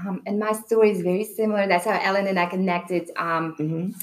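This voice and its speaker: In a Belarusian accent, a woman speaks at medium pitch. Her pace is moderate and her intonation fairly even. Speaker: personal trainer and wellness coach. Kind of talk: casual panel discussion.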